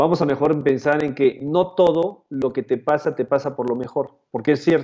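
A man with a fairly high pitch and a dark, mellow tone speaks at a moderate pace. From Peru. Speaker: motivational speaker and author. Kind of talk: interview conversation. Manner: halting, many repetitions.

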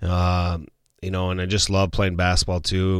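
With an Upper Midwest accent, a man speaks in a very deep, low pitch on a very clean recording with a silent background. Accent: Upper Midwest American. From South Dakota, West River (Martin, Sturgis). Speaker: high school football coach. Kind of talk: casual interview. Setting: studio.

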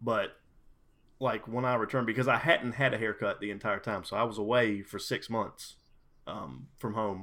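Recorded very cleanly against a silent background, a man talks at a moderate pace and medium pitch, his intonation fairly even and his tone bright and sharp. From US South, South Carolina. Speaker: gamer, liquor sales rep. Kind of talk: casual chat.

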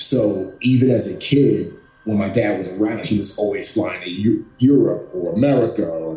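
A man with a New York accent speaks at a medium pitch with ordinary pitch variation, with audible room echo and music in the background. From Bronx, New York City. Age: 40s. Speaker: former Navy SEAL. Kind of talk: interview. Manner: animated.

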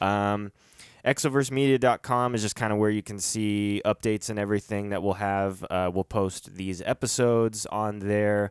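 In a very clean recording with a silent background and a dry, close sound with no echo, a man speaks at a moderate pace. He has an ordinary speaking voice, fairly low in pitch, with fairly even intonation. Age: 30s. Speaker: podcast host. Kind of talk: casual chat.

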